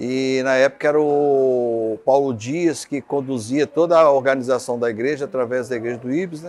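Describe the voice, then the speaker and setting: An ordinary speaking voice, this man's is fairly high-pitched, with ordinary pitch variation and a moderate pace. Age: 50s. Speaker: founding church member. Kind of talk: documentary interview.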